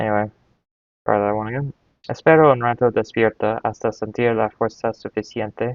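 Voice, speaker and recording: A man with an English accent speaks at a fairly quick pace with fairly even intonation. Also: medium pitch for a man. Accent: English-speaking accent in Spanish. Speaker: Spanish learner. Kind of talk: reading aloud. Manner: halting.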